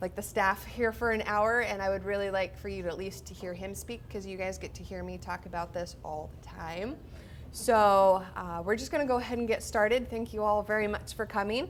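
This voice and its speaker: A woman speaks in a Midwestern US accent. She talks at a fairly quick pace. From Iowa. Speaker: zookeeper. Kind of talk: introduction speech.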